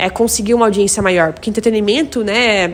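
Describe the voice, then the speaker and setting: This is a woman speaking. Her voice is fairly high in pitch. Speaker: content creator and English teacher. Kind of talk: casual talk to camera. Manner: fast.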